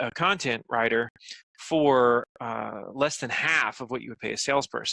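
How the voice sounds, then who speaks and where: Recorded dry and close with no echo, a man's bright, sharp voice sits at medium pitch with ordinary pitch variation. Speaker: marketing agency owner and speaker. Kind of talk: interview. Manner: fast; animated.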